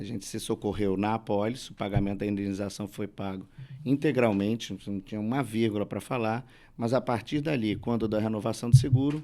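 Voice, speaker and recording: A man's fairly low, dark, mellow voice in a Rio de Janeiro accent, fairly quick and fairly even in intonation. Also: very clean recording, silent background. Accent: carioca. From Rio de Janeiro, Brazil. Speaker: lawyer. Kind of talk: panel discussion.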